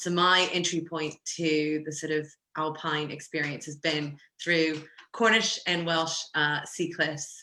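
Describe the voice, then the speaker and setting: A woman with an American accent speaks at a fairly slow pace in a very deep, low pitch for a woman. Her tone is bright and sharp, her intonation monotone and flat. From US, Florida. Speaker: co-founder of a women's climbing club. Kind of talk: online talk to club members.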